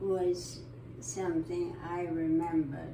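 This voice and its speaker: A woman speaks at a fairly low pitch. The room echo is audible and the background noise is noticeable. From southern England, Eastbourne. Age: 90s. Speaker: interviewee. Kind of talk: life story interview.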